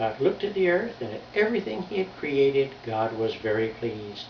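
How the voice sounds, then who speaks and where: The voice moves at a moderate pace with very wide pitch swings. Audible room echo and noticeable background noise are present. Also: man. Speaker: grandfather. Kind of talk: reading aloud.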